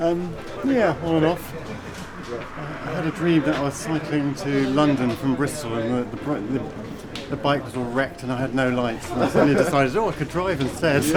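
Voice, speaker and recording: A man speaking at a moderate pace amid crowd noise, with audible room echo. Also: fairly high pitch for a man, ordinary pitch variation. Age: 60s. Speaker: ultramarathon runner. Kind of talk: documentary interview. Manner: halting.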